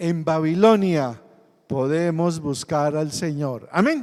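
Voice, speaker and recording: A man with a fairly high pitch speaks at a very slow pace, with audible room echo. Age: 60s. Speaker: pastor. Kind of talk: sermon.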